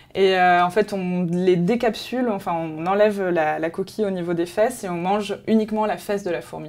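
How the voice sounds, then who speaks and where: Her pitch sits in the medium range, and this woman speaks at a moderate pace with ordinary pitch variation. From France, with Colombian family. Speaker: travel magazine presenter. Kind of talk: promotional interview. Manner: hesitant, many fillers.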